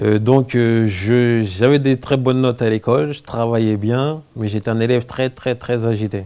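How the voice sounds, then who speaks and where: A man speaks at a moderate pace. His voice is fairly low, with a dark, mellow tone. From France. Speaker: convert to Islam, business owner. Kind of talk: interview testimony. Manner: halting, many fillers.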